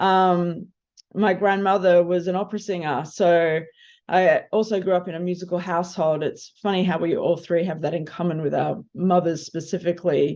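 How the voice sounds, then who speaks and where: This woman has an Australian accent and a fairly low pitch. She talks at a moderate pace in a monotone, flat way against a quiet background. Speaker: film composer. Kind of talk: panel discussion.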